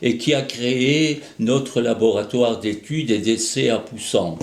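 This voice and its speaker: Amid noticeable background noise and audible room echo, a man speaks very slowly at medium pitch with ordinary pitch variation. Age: 80s+. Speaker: association president. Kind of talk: scripted address. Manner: hesitant, frequent fillers.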